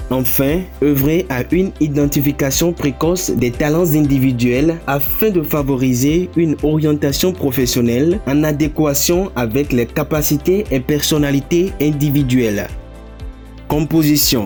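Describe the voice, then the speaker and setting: Over background music, a man with a fairly high pitch talks at a fairly slow pace with ordinary pitch variation and very even loudness. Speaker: voice-over narrator. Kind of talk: corporate narration, organisation presentation. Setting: studio voice-over.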